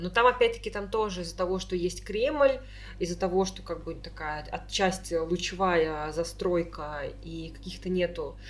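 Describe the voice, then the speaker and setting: Loudness swings widely as the speech goes on at a moderate speed. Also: woman. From Tolyatti, Volga region, Russia. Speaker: podcast co-host. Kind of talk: casual chat.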